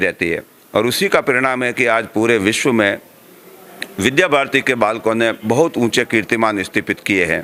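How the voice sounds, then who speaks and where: A man's medium-pitched voice, varying in pitch in an ordinary way, comes through noticeable background noise. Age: 60s. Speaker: education organization official. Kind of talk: interview. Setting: school event.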